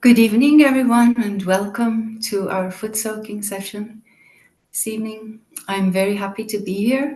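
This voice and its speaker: Somewhat breathy and dark, mellow in tone, a woman with a European accent speaks at a moderate pace with ordinary pitch variation. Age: 50s. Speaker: meditation teacher. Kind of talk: guided meditation introduction. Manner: calm, gentle.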